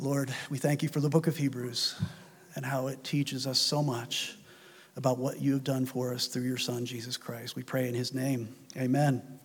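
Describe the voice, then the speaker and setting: This man speaks at a medium pitch in a solemn tone. His intonation is monotone and flat. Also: moderate pace. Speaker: preacher. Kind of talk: sermon closing with a fervent, earnest prayer, reverent and heartfelt. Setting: church. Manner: earnest, solemn, fervent.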